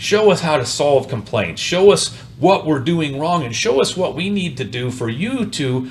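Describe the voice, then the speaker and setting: Over noticeable background noise, a man speaks at a moderate pace in an animated tone with lively intonation. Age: 60s. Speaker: rent-to-own business owner. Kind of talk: interview.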